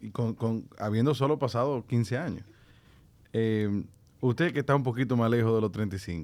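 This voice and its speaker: A plain, everyday voice from a man, medium in pitch, at a moderate pace with ordinary pitch variation. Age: 30s. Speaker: podcast host. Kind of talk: interview.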